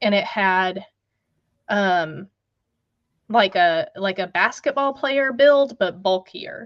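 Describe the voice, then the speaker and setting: With an American accent and a medium pitch, a woman talks at a very slow pace with lively intonation and long, frequent pauses over a quiet background. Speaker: guest recounting family Bigfoot encounters. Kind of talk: storytelling in a live radio interview.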